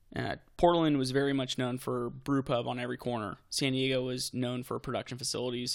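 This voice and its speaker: A man speaks at a very fast pace. He leaves hardly any pauses. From Texas. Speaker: brewery owner. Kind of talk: casual interview.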